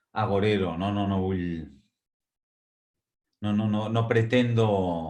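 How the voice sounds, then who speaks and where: A man with a Catalan accent speaks at a very slow pace and fairly low pitch. Long, frequent pauses break up his speech amid audible room echo. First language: Catalan (speaking Spanish). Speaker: academic speaker. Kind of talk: webinar lecture. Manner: hesitant, frequent fillers.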